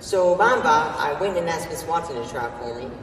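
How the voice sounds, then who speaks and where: Audible room echo with light background noise. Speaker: student actor. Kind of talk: theatrical monologue performance of a literary first-person narration. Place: stage.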